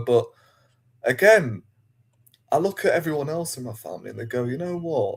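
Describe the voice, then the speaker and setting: A man with a Yorkshire accent and a somewhat breathy voice. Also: very clean recording, silent background. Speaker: football fan. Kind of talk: casual chat.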